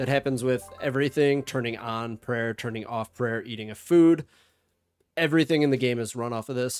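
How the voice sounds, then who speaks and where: A man's medium-pitched voice with an American accent, fairly even intonation and a fairly quick pace, music in the background. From United States. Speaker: gaming guide creator. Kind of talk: tutorial. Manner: casual, with filler words.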